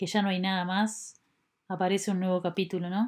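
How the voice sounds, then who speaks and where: Someone speaks with a Uruguayan accent on a very clean recording with a silent background. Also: woman. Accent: Rioplatense Spanish (Uruguayan). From Uruguay, Montevideo. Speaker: podcast host, bamboo designer. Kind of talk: personal reflective monologue. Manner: hesitant, many fillers.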